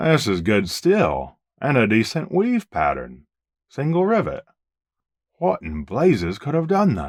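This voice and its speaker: A gruff put-on character voice from a man at medium pitch, delivered at a fairly slow pace. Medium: read story. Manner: gruff, dry.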